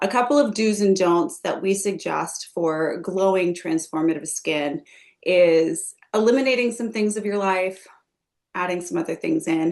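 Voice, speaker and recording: A woman's ordinary speaking voice of medium pitch, at a moderate pace with lively intonation. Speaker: skincare company executive hosting a webinar. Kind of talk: live webinar presentation.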